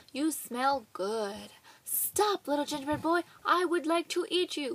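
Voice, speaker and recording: A woman's put-on character voice, raised and projected, high-pitched and delivered at a fairly slow pace. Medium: read story.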